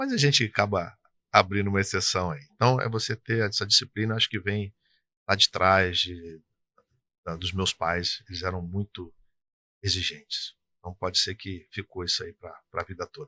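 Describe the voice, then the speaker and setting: In an interior Rio de Janeiro accent, a man with a fairly low pitch and bright, sharp tone speaks at a moderate pace with ordinary pitch variation and long, frequent pauses, recorded with a dry, close sound with no echo against a quiet background. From interior of Rio de Janeiro state, Brazil. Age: 60s. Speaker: tax consultancy business owner. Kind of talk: interview. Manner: casual, conversational.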